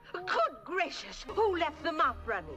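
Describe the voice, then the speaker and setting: Someone performs a put-on character voice at a fairly slow pace. Clear music plays in the background. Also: female-sounding voice, extremely high pitch for a woman. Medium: voice reel. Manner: fussy.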